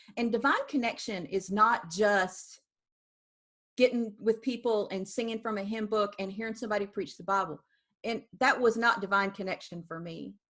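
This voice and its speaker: With an American accent and a normal speaking voice, a woman talks at a moderate pace and a fairly high pitch, with ordinary pitch variation and big swings in loudness, on a very clean recording with a silent background. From US South. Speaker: founder of a spiritual art practice. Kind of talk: interview.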